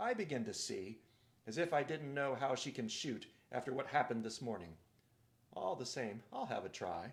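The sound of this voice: A put-on, gruff character voice from a man, medium in pitch, at a moderate pace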